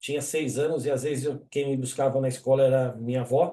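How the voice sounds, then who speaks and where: Speaking at a fairly quick pace, a man uses a medium-pitched voice with a dark, mellow tone. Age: 60s. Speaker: engineer and webinar presenter. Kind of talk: webinar presentation. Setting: online webinar. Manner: casual, conversational.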